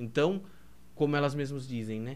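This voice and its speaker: This man talks at a very fast pace, his pitch fairly high. Room echo is audible in the recording. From Brazil, Piedade (São Paulo state). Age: 20s. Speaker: seminarian. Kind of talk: podcast interview.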